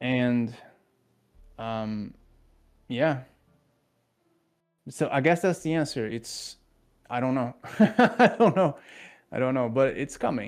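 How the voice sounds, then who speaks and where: A man speaks at a moderate pace with a non-native accent and lively intonation. The recording is very clean, with a silent background. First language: not English. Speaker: game developer. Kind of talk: interview.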